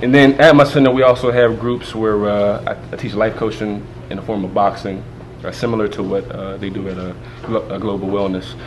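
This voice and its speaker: The speech runs at a fairly quick pace with big swings in loudness, audible room echo and noticeable background noise. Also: man, fairly low pitch for a man, ordinary pitch variation. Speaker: community program director and anger management coach. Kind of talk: interview. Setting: stage at TV show event. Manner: halting.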